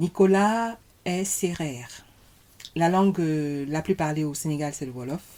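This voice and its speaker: A woman's very deep, low voice, dark and mellow in tone, at a fairly slow pace. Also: ordinary pitch variation. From Cameroon. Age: 40s. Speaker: podcast guest, mother of six. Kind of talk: casual interview conversation. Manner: gentle, soft-spoken.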